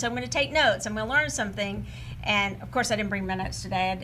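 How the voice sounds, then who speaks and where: A woman with an East Texas accent speaks amid audible room echo. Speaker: talk show host. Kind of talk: casual chat.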